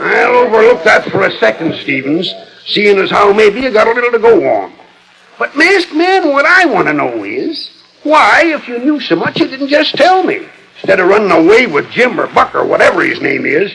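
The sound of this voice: Using a put-on character voice, a man speaks at a high pitch with a fairly bright tone, very wide pitch swings and vocal fry. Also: moderate pace.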